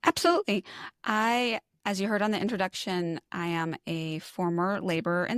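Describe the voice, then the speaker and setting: On a very clean recording with a silent background, a woman at medium pitch speaks with ordinary pitch variation in a dry, close sound with no echo. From New York. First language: not English. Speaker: lactation consultant and former labor nurse. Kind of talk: podcast interview.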